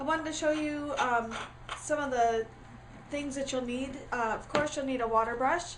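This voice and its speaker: A woman's high voice with fairly even intonation, amid noticeable background noise and audible room echo. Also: moderate pace. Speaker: crafting tutorial creator. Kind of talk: tutorial. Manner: casual, many fillers.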